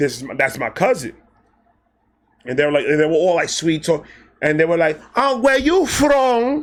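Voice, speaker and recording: Using an American accent, a man speaks at a high pitch and moderate pace in an animated tone, with very wide pitch swings and long, frequent pauses. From Brooklyn, New York. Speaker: storyteller youtuber. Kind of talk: casual storytelling.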